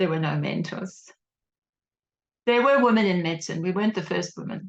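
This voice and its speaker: A woman with vocal fry speaks at a fairly quick pace, her medium pitch showing ordinary variation. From South Africa, Cape Town. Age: 60s. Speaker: doctor and former anti-apartheid activist. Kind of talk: interview testimony.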